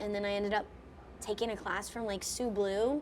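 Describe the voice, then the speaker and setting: Fairly high in pitch, a woman's voice moves at a fairly quick pace. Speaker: voice actor and lumber business co-owner. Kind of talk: casual podcast chat. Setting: recorded at a furniture trade show. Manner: animated, scattered.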